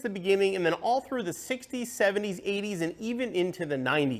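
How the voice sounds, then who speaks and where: Moving at a fairly quick pace, a man's voice rises and falls in very wide pitch swings. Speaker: presenter. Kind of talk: explainer talk to camera. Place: studio. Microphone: lapel.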